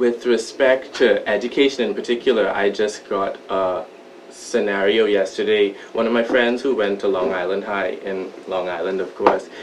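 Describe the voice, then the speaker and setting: A man with fairly even intonation against noticeable background noise. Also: fairly low pitch for a man, moderate pace. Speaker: documentary interviewee. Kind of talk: interview testimony. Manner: hesitant.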